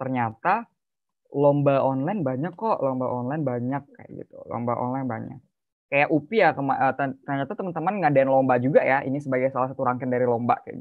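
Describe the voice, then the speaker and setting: A man at a fairly quick pace, with big swings in loudness and ordinary pitch variation, against a quiet background. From Bekasi, Indonesia; Indonesia. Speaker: youth speaker; speaker. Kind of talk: webinar talk. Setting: video call. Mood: casual, friendly. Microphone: video call.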